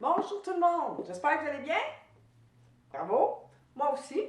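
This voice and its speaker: Speaking fairly slowly, this woman talks with a Quebec accent. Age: 70s. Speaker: author and public speaker. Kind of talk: personal testimony talk to camera. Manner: casual, hesitant with fillers.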